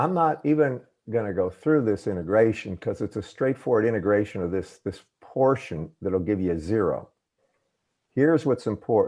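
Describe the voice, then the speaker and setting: At a moderate pace, a dark, mellow voice speaks with a Southern US accent against a quiet background. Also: man, medium pitch for a man, lively intonation. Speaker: engineering professor. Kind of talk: lecture. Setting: video call.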